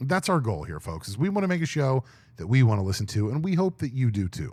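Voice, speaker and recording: A man talks at a very fast pace with very wide pitch swings. His medium-pitched voice is somewhat breathy. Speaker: podcast co-host. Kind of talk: casual chat. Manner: talkative.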